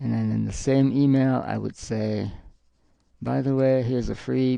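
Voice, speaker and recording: A dark, mellow tone marks this man's voice. He varies his pitch in an ordinary way. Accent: French. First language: French. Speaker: live streamer and artist. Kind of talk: casual live-stream chat while drawing. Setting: home live stream with green screen. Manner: halting, with frequent fillers and restarts.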